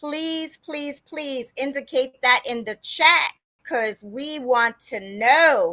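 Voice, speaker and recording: A woman's raised, projected voice, high in pitch and bright and sharp in tone, at a fairly slow pace with ordinary pitch variation. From Long Island, New York. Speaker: podcast host. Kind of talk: live-stream podcast introduction. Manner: animated.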